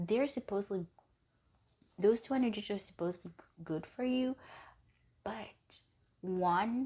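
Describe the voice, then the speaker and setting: Somewhat breathy and dark, mellow in tone, a woman speaks at a moderate pace with long, frequent pauses and big swings in loudness. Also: medium pitch for a woman, ordinary pitch variation. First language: not English. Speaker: tarot reader. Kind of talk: tarot card reading. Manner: casual, halting at times.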